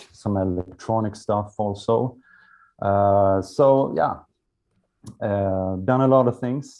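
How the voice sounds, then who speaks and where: A man with a Swedish accent speaks at a very slow pace. His pitch is fairly low and his intonation fairly even. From Sweden. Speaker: musician. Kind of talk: interview. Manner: halting.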